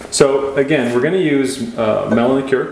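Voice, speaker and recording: A man's voice comes through with audible echo from the room and noticeable background noise. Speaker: cocktail show co-host. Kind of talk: casual cocktail tutorial. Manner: casual, jokey.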